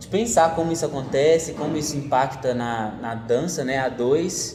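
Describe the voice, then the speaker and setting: Noticeable background noise and audible room echo surround the recording. A man speaks with big swings in loudness. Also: fairly high pitch for a man, ordinary pitch variation, moderate pace. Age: 20s. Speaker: forró dance teacher and journalism student. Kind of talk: casual interview.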